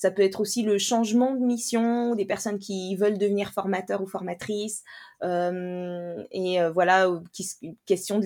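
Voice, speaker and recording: Recorded very cleanly against a silent background, a woman talks at medium pitch with fairly even intonation in an ordinary speaking voice. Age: 30s. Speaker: teacher trainer and coach. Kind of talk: interview conversation.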